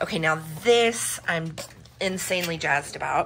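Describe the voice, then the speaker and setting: Over light background noise, the speaker goes at a fairly slow pace with ordinary pitch variation. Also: woman. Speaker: vintage reseller. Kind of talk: casual haul vlog chat. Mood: excited, upbeat. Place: home room. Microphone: phone near.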